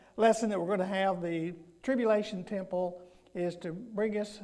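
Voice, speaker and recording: With audible room echo behind him, a man talks at a fairly slow pace in a dark, mellow tone, his pitch high and his intonation fairly even. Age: 70s. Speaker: guest preacher. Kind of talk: sermon. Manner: halting.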